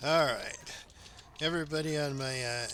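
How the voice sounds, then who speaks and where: A man speaking over noticeable background noise. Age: 50s. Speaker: game streamer. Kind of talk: casual chat.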